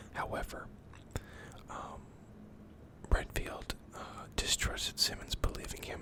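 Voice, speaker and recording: Against noticeable background noise, a fairly slow whisper is heard. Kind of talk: reading a character biography. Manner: whispered.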